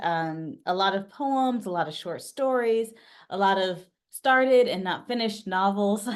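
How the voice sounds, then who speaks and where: A woman with a normal speaking voice and an American accent talks at a moderate pace in a medium pitch. Her intonation is lively, and the background is quiet. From US East Coast (New York / DC area). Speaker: memoir author. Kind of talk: interview.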